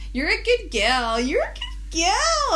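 A put-on character voice at an extremely high pitch, delivered at a fairly slow pace. Background noise is clear. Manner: condescending, mocking.

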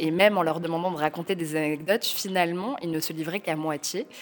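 Against noticeable background noise, a woman with a fairly low pitch speaks at a very fast pace. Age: 30s. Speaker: novelist. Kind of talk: interview. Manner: halting.

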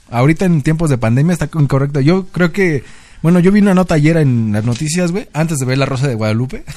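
Very fast and full of lively intonation, a man talks at a fairly high pitch with a dark, mellow tone. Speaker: podcast co-host. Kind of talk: casual chat.

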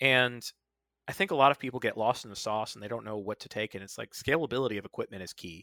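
A man with an American accent talks very fast in a bright, sharp tone, recorded very cleanly with a silent background and a dry, close sound with no echo. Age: 30s. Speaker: founder of a volunteer preparedness group. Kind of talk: podcast interview. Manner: casual.

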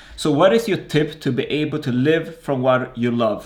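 This man has an ordinary speaking voice, pitched fairly high with ordinary pitch variation. He talks at a moderate pace. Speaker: podcast host. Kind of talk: interview. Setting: video call.

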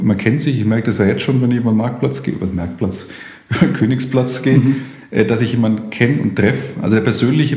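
Someone with a Franconian accent speaks at a moderate pace, with audible room echo and noticeable background noise. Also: man. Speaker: police station chief. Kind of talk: interview. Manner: formal.

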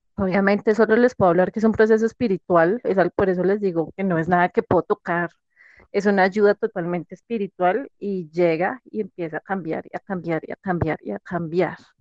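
Her fairly quick delivery stays at a medium pitch with fairly even intonation as a woman speaks in a dry, close sound with no echo. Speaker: podcast guest sharing personal story. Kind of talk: testimony. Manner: hesitant, many fillers.

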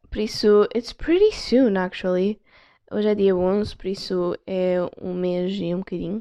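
A woman with a European Portuguese accent, medium in pitch, at a fairly slow pace. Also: fairly even intonation. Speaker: podcast host. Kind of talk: casual solo chat. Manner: casual, code-switching with English. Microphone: external mic on phone.

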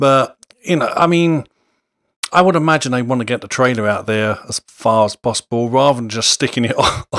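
The recording is dry and close, with no echo, as a man speaks at a fairly quick pace. He has an ordinary speaking voice at a medium pitch, with ordinary pitch variation. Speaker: podcast host. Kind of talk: casual chat. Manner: joking, laughs often.

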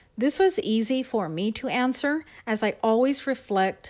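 An unremarkable speaking voice with an American accent moves at a fairly slow pace with lively intonation. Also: woman. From Texas, San Antonio. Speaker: education specialist. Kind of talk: prepared monologue.

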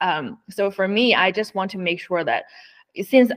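A woman's medium-pitched voice with a Chinese accent. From northeast China. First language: Mandarin Chinese. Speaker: autonomous driving executive. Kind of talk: interview conversation. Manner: halting.

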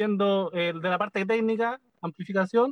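A man with fairly even intonation. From Chile. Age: 40s. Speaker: band percussionist. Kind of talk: interview.

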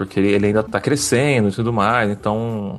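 A man's medium-pitched voice goes along fairly quickly while music plays behind him. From São Paulo state coast, Brazil. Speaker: journalist and podcaster. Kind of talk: casual interview chat. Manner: halting, many repetitions.

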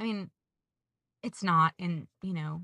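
On a very clean recording with a silent background, dry and close with no echo, a woman with a Southern US accent speaks in a fairly low, bright, sharp voice with ordinary pitch variation. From Georgia, US South. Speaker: podcast host and trip leader. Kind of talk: casual chat.

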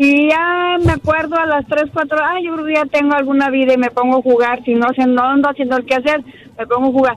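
A woman speaks with ordinary pitch variation. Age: 30s. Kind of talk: casual phone-in chat. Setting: phone call.

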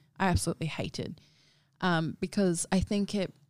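A woman talks with an Australian accent. Her pitch is fairly low, with ordinary variation. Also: very clean recording, silent background. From Darwin, Northern Territory, Australia. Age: 20s. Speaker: model and activist. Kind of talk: casual chat.

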